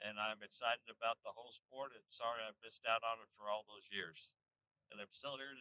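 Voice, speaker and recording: A man's voice has a bright, sharp tone at a moderate pace. The sound is dry and close, with no echo. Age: 60s. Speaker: hunting channel host. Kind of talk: casual vlog chat. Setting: in a truck.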